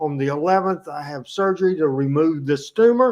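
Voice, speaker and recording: A man talks in a Southern US accent. His pace is fairly slow. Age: 60s. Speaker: wrestling show host. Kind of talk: casual chat.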